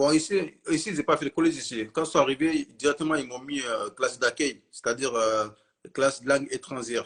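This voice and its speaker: The voice is a man's at a fairly high pitch. He talks at a fairly quick pace with ordinary pitch variation. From Mali. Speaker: witness of terror attack, shop worker. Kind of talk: interview. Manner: hesitant.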